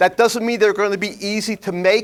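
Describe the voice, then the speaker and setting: Recorded very cleanly against a silent background, a man speaks with a New York accent. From New York, Flushing (Queens). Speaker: workshop presenter on ethics. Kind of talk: seminar talk to audience. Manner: blunt, conversational.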